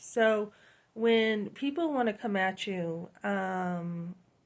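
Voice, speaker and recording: A woman with a New England accent, on a very clean recording with a silent background. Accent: New England accent, noticeable. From New Hampshire, US. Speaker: lifestyle YouTuber. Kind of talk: casual vlog monologue. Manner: conversational with many fillers.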